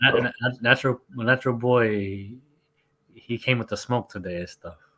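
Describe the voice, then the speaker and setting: In a New York accent, a man with a bright, sharp tone keeps his intonation fairly even while his loudness swings widely. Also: medium pitch for a man, moderate pace. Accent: New York American. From New York, US, Colombian family. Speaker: sports scientist. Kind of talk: casual live stream chat. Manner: halting.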